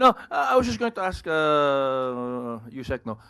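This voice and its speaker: A bright, sharp tone with lively intonation in a very clean recording against a silent background. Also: man. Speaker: reporter. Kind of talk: press briefing question. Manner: halting; loud.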